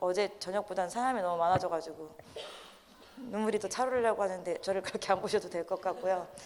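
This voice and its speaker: Her pace is very fast. The woman keeps a fairly even intonation. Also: medium pitch for a woman. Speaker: lay preacher. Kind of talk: sermon.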